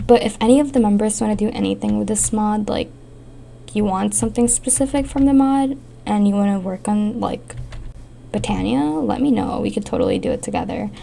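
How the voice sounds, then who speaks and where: Fairly quick female speech with noticeable noise in the background. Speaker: gaming youtuber. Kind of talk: casual gameplay commentary.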